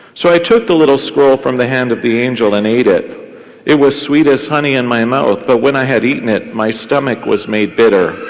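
Speaking at a moderate pace, a man shows ordinary pitch variation. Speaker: priest celebrating Mass. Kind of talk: liturgical prayer and scripture reading. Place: church.

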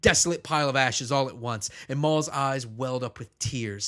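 A passage is being read aloud in a natural voice.

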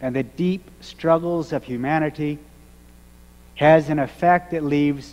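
The man speaks fairly slowly. Ordinary variation shows in his pitch. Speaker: minister. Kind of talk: sermon. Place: church. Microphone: podium.

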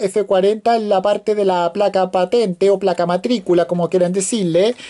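The voice has a dark, mellow tone and fairly even intonation over a quiet background. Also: woman. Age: 20s. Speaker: toy car reviewer; toy reviewer. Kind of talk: video review. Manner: halting, many fillers. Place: home room. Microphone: phone near.

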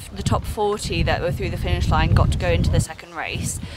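Music plays in the background as the voice moves at a moderate pace, the sound dry with no echo. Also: woman. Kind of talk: interview answer. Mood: cheerful, post-race. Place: car.

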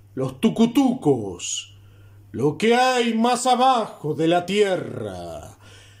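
Very slow speech with lively intonation plays over noticeable background noise. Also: man. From Uruguay. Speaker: poetry reciter. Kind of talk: poetry reading.

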